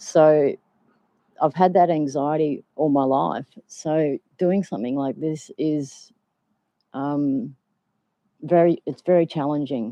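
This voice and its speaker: With an Australian accent, a woman speaks very slowly in a very deep, low voice with a dark, mellow tone. Long pauses come often. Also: ordinary pitch variation. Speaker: vlogger. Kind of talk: casual live stream chat. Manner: hesitant, many ums.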